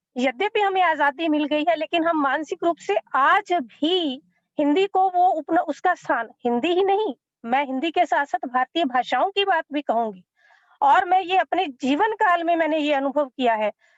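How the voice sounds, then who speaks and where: A woman speaks at an extremely high pitch with lively intonation and very even loudness. The sound is dry and close, with no echo. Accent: Punjabi. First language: Punjabi (speaking Hindi). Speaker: academic panelist. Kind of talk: panel talk.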